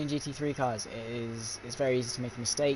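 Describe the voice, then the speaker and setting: A man in a British accent, very fast, flat monotone, medium pitch. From Britain. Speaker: sim racing commentator. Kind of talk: live commentary. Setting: live stream.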